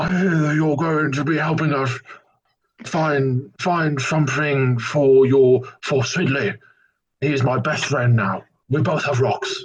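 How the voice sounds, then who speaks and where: A put-on character voice moves at a fairly slow pace. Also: man, fairly high pitch for a man. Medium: actual play. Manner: formal, whimsical.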